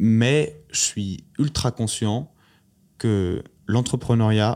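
Captured in a very clean recording with a silent background, a man speaks with a fairly low pitch and ordinary pitch variation. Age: 20s. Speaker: startup founder and CEO. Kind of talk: interview conversation. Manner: halting, many fillers and repetitions.

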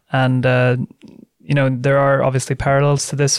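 A man with a Swedish accent, moderate pace and monotone, flat intonation. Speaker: podcast host, think tank head. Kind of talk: interview.

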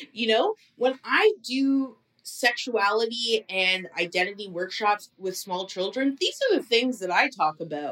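Here a woman has an unremarkable speaking voice with a Canadian accent. Her pitch is fairly high, her intonation lively, and her pace fairly slow. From Ontario, Canada. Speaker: sex educator. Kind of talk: interview.

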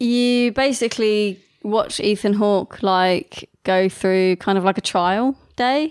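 Very slowly, a woman speaks at a fairly high pitch with ordinary pitch variation. The recording is very clean and the background silent. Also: very even loudness, dry, close sound with no echo. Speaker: podcast co-host. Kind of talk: casual chat. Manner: casual, conversational.

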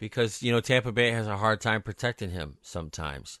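Against a quiet background, a man speaks in an unremarkable speaking voice. His pitch is fairly low and his intonation lively. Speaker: podcast host. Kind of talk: casual sports betting talk.

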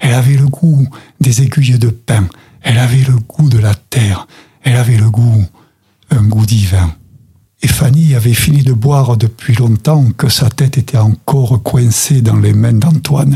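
A somewhat breathy man at medium pitch, fairly slow pace, very even loudness and ordinary pitch variation. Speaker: storyteller and association president. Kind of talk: storytelling, told tale with narrative voice. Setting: studio. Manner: animated, vivid, expressive storyteller with dramatic character voices.

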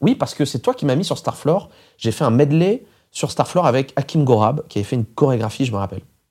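A man talks at a very fast pace with lively intonation, his fairly high voice dark, mellow and somewhat breathy. The recording is very clean with a silent background. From France, rural. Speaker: radio host and DJ. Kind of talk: interview. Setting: studio.

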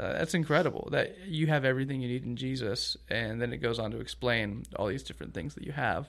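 A man's very fast, near-pauseless delivery at medium pitch, with vocal fry, ordinary pitch variation and an American accent. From US South, Augusta, Georgia. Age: 20s. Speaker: youth pastor. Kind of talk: casual chat.

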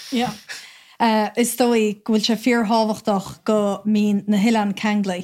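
A woman with an Irish accent speaks at a fairly slow pace in a fairly high, monotone, flat voice. Her loudness is very even, and the recording is very clean with a silent background. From Ireland. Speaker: islander.

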